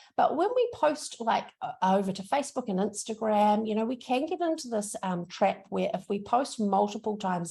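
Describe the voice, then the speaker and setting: A woman with a strong New Zealand accent speaks at a fairly high pitch in a dark, mellow, somewhat breathy tone. Her pace is moderate and her intonation lively. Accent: thick New Zealand. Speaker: social media trainer. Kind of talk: workshop presentation. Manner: casual, upbeat.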